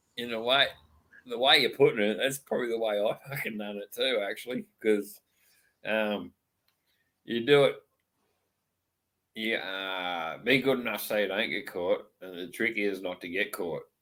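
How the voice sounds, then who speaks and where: A man with an Australian accent, long, frequent pauses, and ordinary pitch variation. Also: medium pitch for a man, moderate pace. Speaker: live stream host. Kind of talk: casual chat.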